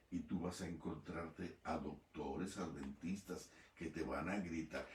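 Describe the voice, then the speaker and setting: A man talks at a fairly slow pace with lively intonation. Room echo is audible. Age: 70s. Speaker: pastor. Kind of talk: sermon.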